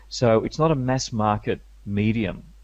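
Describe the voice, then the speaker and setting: The background is quiet as a man speaks with vocal fry. His pitch is fairly low, with ordinary variation. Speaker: media skills coach. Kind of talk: interview.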